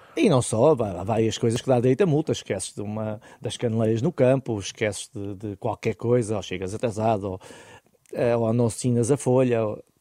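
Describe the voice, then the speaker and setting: The speech moves at a moderate pace in a dark, mellow tone with ordinary pitch variation and a dry, close sound with no echo. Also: man, medium pitch for a man. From Portugal, Oeste region. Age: 40s. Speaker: former football goalkeeper, goalkeeping coach. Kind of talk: interview.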